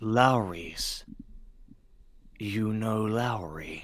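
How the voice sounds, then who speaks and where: Adopting a put-on character voice, a man speaks at a medium pitch. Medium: actual play. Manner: guarded, confrontational.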